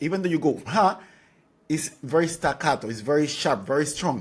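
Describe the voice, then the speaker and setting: A man with a fairly high pitch and a Spanish accent. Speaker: dance teacher. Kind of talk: tutorial.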